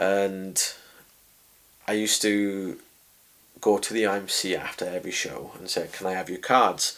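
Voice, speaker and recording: A man with a South Welsh accent, monotone and flat, at a moderate pace broken by long, frequent pauses. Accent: south Welsh valleys. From Wales, Rhondda valleys. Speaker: boxing and MMA ring announcer. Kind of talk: interview. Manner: loud, chatty.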